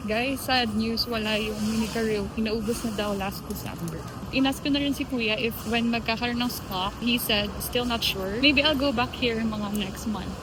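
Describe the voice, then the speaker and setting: In a room with audible echo and noticeable background noise, a woman talks at a moderate pace with hardly any pauses. Her pitch is fairly high and her intonation fairly even. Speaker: vlogger. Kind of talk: casual vlog talk to camera. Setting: outdoors and in a mall, handheld vlog.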